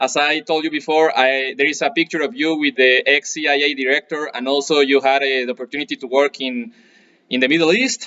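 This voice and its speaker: A man speaks with a Spanish accent. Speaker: martial arts instructor and channel host. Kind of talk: interview with translation. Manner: halting.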